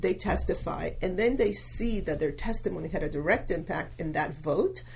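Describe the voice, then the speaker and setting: A woman with a Spanish accent at a moderate pace, audible room echo around her. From Venezuela. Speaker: local politician. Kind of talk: podcast interview.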